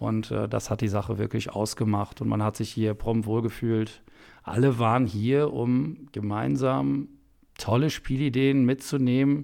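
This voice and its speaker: A man's voice of medium pitch, dark and mellow in tone, at a moderate pace on a very clean recording with a silent background. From Westphalia, Germany (Soest). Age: 30s. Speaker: vocational school teacher. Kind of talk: casual interview. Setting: on location at a training course.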